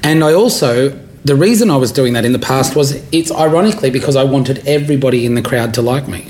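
A man with an Australian accent at a very fast pace, fairly high pitch and ordinary pitch variation, amid noticeable background noise and audible room echo. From Australia, rural area near Canberra. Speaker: stand-up comedian. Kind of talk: casual interview.

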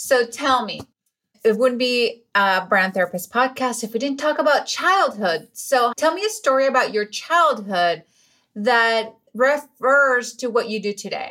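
A woman with a Spanish accent speaks at a fairly slow pace, her high pitch carrying a bright, sharp tone and lively intonation. The recording is very clean, with a silent background. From Venezuela. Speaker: podcast host. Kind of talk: interview. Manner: enthusiastic.

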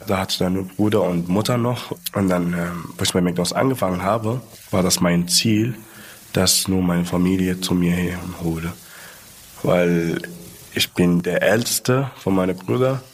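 A man's very deep, low voice at a moderate pace, with ordinary pitch variation, very even loudness, long and frequent pauses, and noticeable background noise. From Libya (Sudanese roots). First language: Arabic (speaking German). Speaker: shift leader and social media creator. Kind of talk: casual interview. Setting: recorded at company headquarters in Munich.

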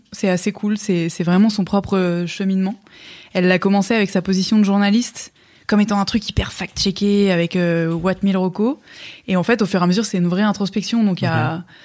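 Using a normal speaking voice at medium pitch, a woman talks at a fairly quick pace with very even loudness and fairly even intonation. The recording is very clean and the background silent. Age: 30s. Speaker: media co-founder. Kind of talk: casual chat.

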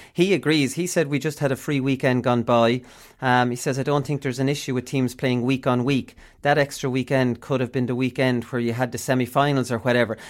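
Someone with an Irish Midlands accent talks at a fairly quick pace, keeping the intonation fairly even. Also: man, medium pitch for a man. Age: 40s. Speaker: sports podcast host. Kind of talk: casual sports chat.

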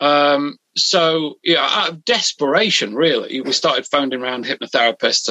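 In a British accent, a man with a fairly high pitch and a bright, sharp tone speaks with ordinary pitch variation in a dry, close sound with no echo. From UK. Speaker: hypnotherapist. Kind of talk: interview. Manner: halting.

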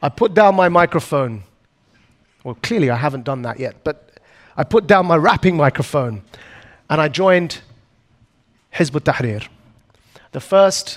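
A man with an Essex accent talks in a fairly high pitch, his intonation lively. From Essex, England. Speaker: anti-extremism activist. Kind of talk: keynote talk. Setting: stage with audience.

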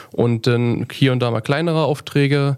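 At a moderate pace, a man with an unremarkable speaking voice talks with fairly even intonation. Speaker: metalwork apprentice. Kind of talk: casual interview. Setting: studio.

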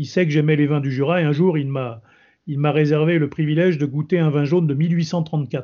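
Using an ordinary speaking voice, a man talks at a fairly high pitch with fairly even intonation. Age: 60s. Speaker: retired army general and wine expert. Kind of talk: interview.

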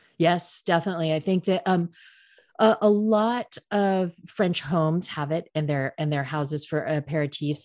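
Heard over a quiet background, a woman talks in a plain, everyday voice, fairly low in pitch, with ordinary pitch variation and a moderate pace. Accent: American. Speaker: cocktail expert, American expat in Paris. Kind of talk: casual interview chat.

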